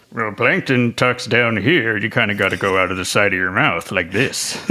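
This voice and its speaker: Putting on a gruff character voice of fairly low pitch, a man speaks at a moderate pace. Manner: scheming, gruff, piratey.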